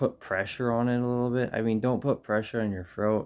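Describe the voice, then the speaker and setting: A soft-spoken man on a very clean recording with a silent background. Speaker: music vlogger. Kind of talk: tutorial. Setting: in bedroom at home. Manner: halting.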